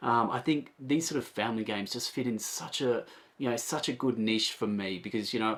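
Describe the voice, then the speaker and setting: This man talks at a fairly quick pace. He has an Australian accent. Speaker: board game reviewer. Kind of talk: casual video review. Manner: animated.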